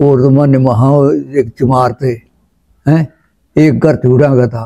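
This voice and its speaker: A man's dark, mellow voice at medium pitch with fairly even intonation. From Ambala district, Indian Punjab (Haryana). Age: 80s+. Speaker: partition survivor. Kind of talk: oral history interview. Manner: halting.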